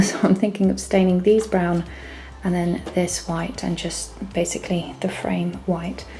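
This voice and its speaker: With noticeable background noise behind her, a woman speaks at a fairly slow pace and a medium pitch. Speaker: DIY home renovation vlogger. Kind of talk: casual DIY vlog narration. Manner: whispering.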